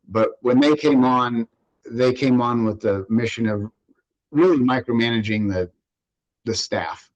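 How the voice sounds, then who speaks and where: A man speaks at medium pitch and a moderate pace. The sound is dry and close, with no echo. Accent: Californian. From California, Central Valley (Fresno). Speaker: water district general manager. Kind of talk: interview. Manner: hesitant, many fillers.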